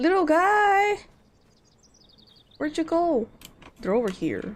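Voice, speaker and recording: Speaking at a very slow pace, a woman with an extremely high pitch makes very wide pitch swings over noticeable background noise. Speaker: VTuber streamer. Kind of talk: gameplay livestream. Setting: livestream. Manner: animated.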